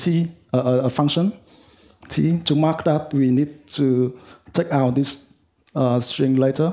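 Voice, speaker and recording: Fairly slow, medium-pitched male voice with a Vietnamese accent and fairly even intonation. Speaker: software developer. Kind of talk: lightning talk. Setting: meetup with audience. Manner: halting, many fillers.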